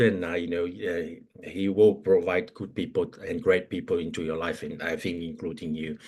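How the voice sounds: Fairly slow, fairly even speech from a man with a slightly mellow tone.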